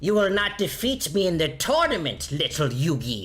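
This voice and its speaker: A man's put-on character voice, fairly high-pitched, with clear music in the background. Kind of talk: over-enunciated, overpronounced words. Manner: pompous, boastful.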